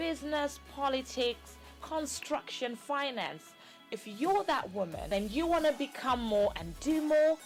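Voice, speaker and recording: Over music in the background, a woman speaks at a fairly slow pace with a high pitch and lively intonation. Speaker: talk show host. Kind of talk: TV talk show intro.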